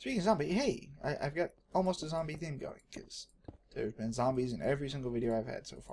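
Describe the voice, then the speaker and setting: With an American accent, a man speaks very fast in a fairly high, somewhat breathy voice, his intonation lively and his loudness swinging widely. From Texas. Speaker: gaming video creator. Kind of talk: gameplay commentary. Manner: casual, hesitant with fillers.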